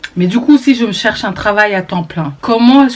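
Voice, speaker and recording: Her tone is animated as a woman speaks at a moderate pace with a fairly high pitch. She uses ordinary pitch variation, and noticeable background noise can be heard. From Belgium, Brussels. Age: 20s. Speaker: vlogger. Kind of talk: vlog monologue to camera.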